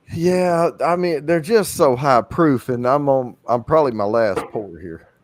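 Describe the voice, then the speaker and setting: A fairly high-pitched man with a Southern US accent, very wide pitch swings and a fairly slow pace. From US South, southeast Arkansas. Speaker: whiskey enthusiast on livestream. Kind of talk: casual chat. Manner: halting.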